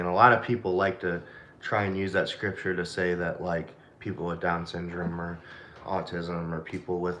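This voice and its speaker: A man speaks in a very deep, low pitch. His tone is bright and sharp, with audible room echo. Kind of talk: casual chat.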